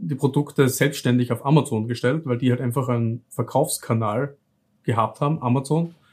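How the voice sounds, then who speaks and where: With a slight southern Austrian accent, a man talks at a moderate pace in a medium pitch with fairly even intonation. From southern Styria, Austria. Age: 30s. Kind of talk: interview.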